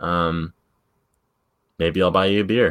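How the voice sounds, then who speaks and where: A man speaks with music playing in the background. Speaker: soccer podcast co-host. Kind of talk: casual chat.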